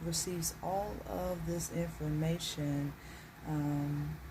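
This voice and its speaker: A woman talks at a very slow pace, with audible room echo around her. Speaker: advice vlogger. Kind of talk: casual vlog monologue. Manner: halting with fillers.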